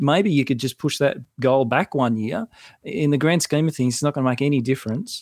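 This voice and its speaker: A man with an Australian accent, fairly high in pitch with ordinary pitch variation, at a fairly quick pace, in a dry, close sound with no echo. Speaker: financial adviser and author. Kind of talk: casual interview chat. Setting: podcast studio in a home garage.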